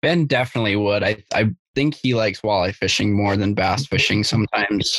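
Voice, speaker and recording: An ordinary speaking voice at a fairly quick pace, with ordinary pitch variation and a dry, close sound with no echo. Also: man, fairly low pitch for a man. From Minnesota, Grand Rapids. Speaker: college bass angler. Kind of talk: casual chat.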